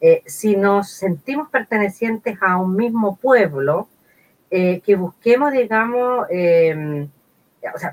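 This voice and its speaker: Her intonation lively and her pitch medium, a woman speaks with a dry, close sound with no echo. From Chile, San Carlos de Ñuble. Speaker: sociologist and political candidate. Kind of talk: interview. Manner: halting.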